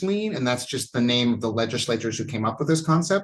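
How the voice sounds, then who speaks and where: A man's somewhat breathy, medium-pitched voice with lively intonation. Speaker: college instructor. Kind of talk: online lecture. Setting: online class from home. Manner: fast. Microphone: new laptop setup.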